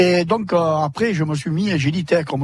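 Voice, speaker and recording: With ordinary pitch variation, the man talks in a somewhat breathy way. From southern France, Sète. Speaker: retired water jouster and painter. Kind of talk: live radio interview. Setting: outdoor broadcast in a fishermen's hut.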